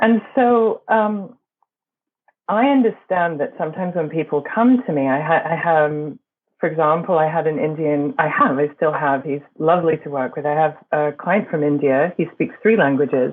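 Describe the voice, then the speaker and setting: A woman speaks with a very deep, low pitch. Her intonation is lively and her pace moderate. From England and Berkeley, California. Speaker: voice and performance coach. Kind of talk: interview.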